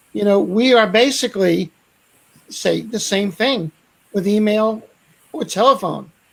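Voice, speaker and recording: A woman in a Brooklyn accent speaks at a fairly slow pace with long, frequent pauses, her medium pitch showing ordinary pitch variation. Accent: New York (Brooklyn). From New York, Brooklyn. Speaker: sales expert and author. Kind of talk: panel discussion.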